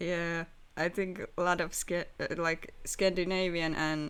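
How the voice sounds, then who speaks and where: Very slowly and in a monotone, flat intonation, a woman with a Finnish accent speaks at a fairly low pitch. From Finland. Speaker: streamer. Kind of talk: casual chat. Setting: live stream.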